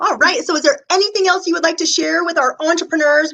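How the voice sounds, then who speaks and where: A woman's raised, projected voice at a very fast pace amid noticeable background noise. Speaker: interview host, body code practitioner. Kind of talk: interview. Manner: enthusiastic.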